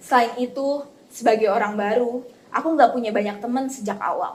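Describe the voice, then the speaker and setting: With a West Javanese accent, a woman speaks at a moderate pace. Her fairly high pitch follows fairly even intonation. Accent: Sundanese. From West Java (Bogor), Indonesia. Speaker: university student interviewee. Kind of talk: interview testimony.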